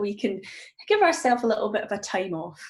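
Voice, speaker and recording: A woman with a Scottish accent, lively intonation and a fairly quick pace. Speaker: mindfulness coach. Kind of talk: guided meditation introduction, livestream. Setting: live video stream. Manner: calm, gentle, with filler ums.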